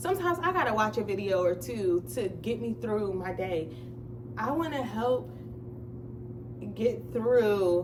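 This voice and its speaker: A woman speaks at a fairly slow pace with long, frequent pauses and very wide pitch swings, with audible room echo and noticeable background noise. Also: medium pitch for a woman. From New Jersey. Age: 20s. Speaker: vlogger. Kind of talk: casual chat. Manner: stutters sometimes.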